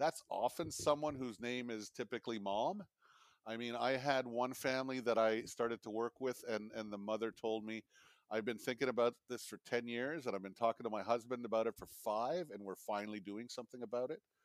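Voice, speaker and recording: With an ordinary speaking voice, a man talks at a medium pitch and fairly quick pace with fairly even intonation, recorded dry and close with no echo, very clean, over a silent background. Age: 50s. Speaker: family business advisor. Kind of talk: casual chat.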